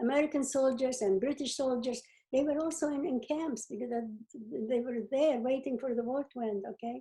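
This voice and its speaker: A woman with a high pitch and a dark, mellow tone, at a moderate pace with ordinary pitch variation. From Czechoslovakia (now Ukraine). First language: not English. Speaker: Holocaust survivor and educator. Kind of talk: interview answer.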